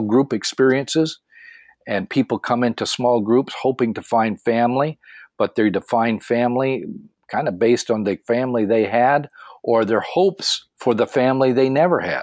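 A man with a plain, everyday voice speaks in an American accent at a moderate pace. His medium pitch varies an ordinary amount, and the recording is very clean, with a silent background and a dry, close sound with no echo. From Tennessee, Michigan and northern Ontario. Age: 60s. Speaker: pastor and life coach. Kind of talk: interview.

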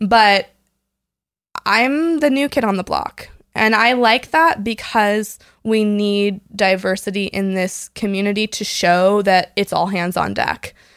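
Over a very clean recording with a silent background, a woman with a plain, everyday voice speaks at a fairly slow pace, with a medium pitch and ordinary pitch variation. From US West Coast, San Diego. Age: 20s. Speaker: foster and adoptive parent. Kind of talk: casual chat.

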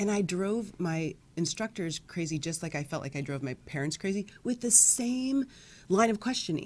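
A woman with an American accent, medium-pitched and animated, with lively intonation at a moderate pace, on a very clean recording with a silent background. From US Midwest. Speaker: naturopathic doctor. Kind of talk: interview.

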